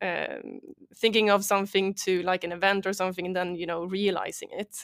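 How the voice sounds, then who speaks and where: A woman's medium-pitched voice at a moderate pace, in a Swedish accent. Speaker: startup founder and CEO. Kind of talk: interview. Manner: hesitant, many fillers.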